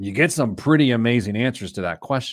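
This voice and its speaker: At a very fast pace, a man with a fairly low voice speaks with ordinary pitch variation in a very clean recording with a silent background. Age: 40s. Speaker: personal finance podcast host. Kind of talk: casual chat.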